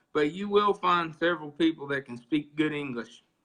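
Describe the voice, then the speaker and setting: With an Oklahoma accent, a man talks fairly quickly with lively intonation. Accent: rural Oklahoma. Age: young. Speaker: gamefowl breeder. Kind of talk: interview storytelling. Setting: live video stream.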